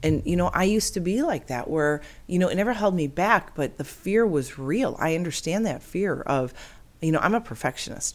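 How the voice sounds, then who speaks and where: Talking at a fairly quick pace with lively intonation, this is an unremarkable speaking voice. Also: woman, fairly low pitch for a woman, very clean recording, silent background. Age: 50s. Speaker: podcast host, amputee. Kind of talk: motivational monologue. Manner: earnest, upbeat.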